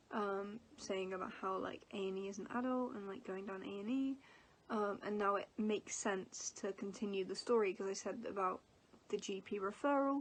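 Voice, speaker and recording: Speaking with an English accent, a woman keeps a moderate pace. Her intonation is fairly even. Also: medium pitch for a woman. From England. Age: 20s. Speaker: vlogger. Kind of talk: casual vlog talk. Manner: hesitant, filler words.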